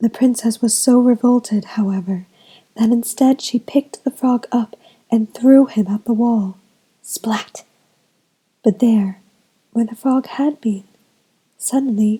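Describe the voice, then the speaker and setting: The voice is soft-spoken. Long pauses come often. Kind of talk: bedtime story.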